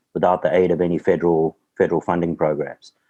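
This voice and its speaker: This man's voice is very deep and low, dark and mellow in tone, moving at a moderate pace. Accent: South African. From South Africa. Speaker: real estate developer. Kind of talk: interview.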